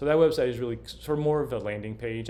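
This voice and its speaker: A man with a Southern US accent speaks with audible room echo around him. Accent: faint Southern US. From US South. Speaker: vlogger. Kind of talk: casual monologue. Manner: halting, many fillers and restarts.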